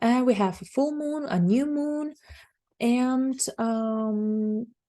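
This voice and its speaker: A woman speaks with a Bulgarian accent. Her tone is dark, mellow and somewhat breathy. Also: quiet background. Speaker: astrologer. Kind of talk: monologue forecast.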